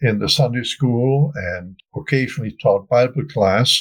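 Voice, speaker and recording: Here a man speaks with a German accent, somewhat breathy and at a fairly slow pace. His pitch is medium, with ordinary variation. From Germany, Wuppertal. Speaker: family historian. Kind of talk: interview.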